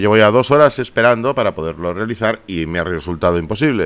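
He speaks at a moderate pace. The man's pitch swings very widely. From Barcelona, Spain. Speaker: YouTuber, gaming streamer. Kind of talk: casual vlog appeal to viewers.

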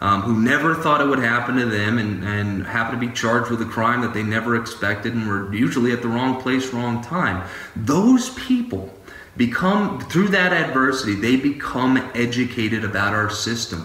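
Medium male pitch with ordinary pitch variation and a moderate pace, a man in audible room echo. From Louisiana. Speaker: criminal defense attorney. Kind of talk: interview. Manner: halting, many fillers. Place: office. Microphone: earbuds.

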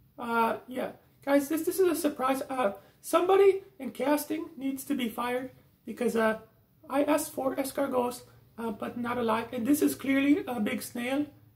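This cartoonish character voice is high in pitch and moves at a moderate pace. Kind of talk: comedy puppet sketch. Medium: puppet.

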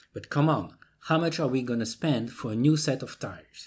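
The background is quiet. A man talks with a somewhat breathy voice. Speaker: tutorial maker. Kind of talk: tutorial. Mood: mildly indignant, persuasive.

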